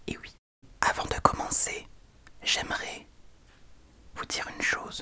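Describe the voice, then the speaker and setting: A man whispers at a fairly slow pace. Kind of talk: casual talk to camera, comedic ASMR parody. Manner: friendly, chatty, upbeat.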